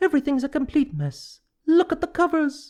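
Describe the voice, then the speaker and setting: A high-pitched, put-on character voice talks at a moderate pace. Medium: read story.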